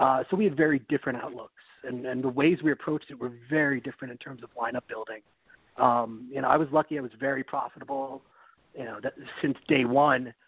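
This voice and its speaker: A very fast-talking man with an American accent, medium in pitch, fairly even in intonation, with big swings in loudness. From New York City. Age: 30s. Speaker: fantasy football analyst. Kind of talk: podcast interview.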